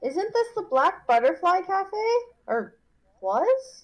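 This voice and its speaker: A woman puts on a squeaky character voice, pitched extremely high and swinging very widely in pitch at a fairly slow pace. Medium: actual play.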